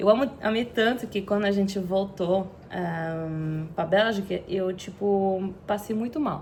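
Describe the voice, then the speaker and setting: Her pitch sits in the middle range and varies in an ordinary way as the woman talks very slowly. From Belgium, Antwerp (Flanders). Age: 30s. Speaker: content creator. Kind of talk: personal vlog storytelling. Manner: halting, with fillers.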